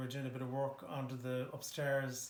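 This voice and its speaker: A man with a Dublin accent. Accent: Dublin Irish. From Ireland, Dublin (Harold's Cross). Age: 60s. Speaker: local resident. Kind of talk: interview. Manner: hesitant, many fillers.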